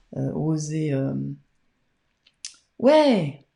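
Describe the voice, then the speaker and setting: In a room with audible echo, a woman speaks with a dark, mellow tone. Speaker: tarot card reader. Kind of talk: live-streamed card reading. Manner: soft-spoken; hesitant, many fillers.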